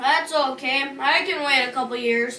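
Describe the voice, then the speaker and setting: A put-on character voice, high and female-sounding, at a moderate pace over clear background noise. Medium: comedy sketch. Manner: deadpan.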